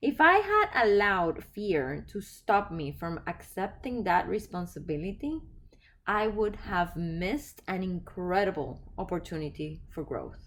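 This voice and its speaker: Speaking with a non-native accent, a woman uses lively intonation at a fairly slow pace. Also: medium pitch for a woman. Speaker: podcast host and life coach. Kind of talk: reflective solo podcast talk.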